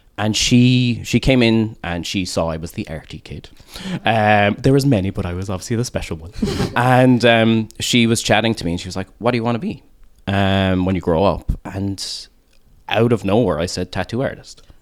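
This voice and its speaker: With a Cork accent and a fairly low pitch, a man speaks at a moderate pace with ordinary pitch variation and big swings in loudness over noticeable background noise. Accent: Cork Irish. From Ireland, Cork. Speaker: tattoo artist. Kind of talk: casual chat.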